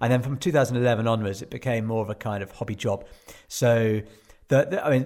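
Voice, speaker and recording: A man talking at a very fast pace. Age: 40s. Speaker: adventure journalist and endurance athlete. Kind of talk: casual interview. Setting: remote call from home. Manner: halting.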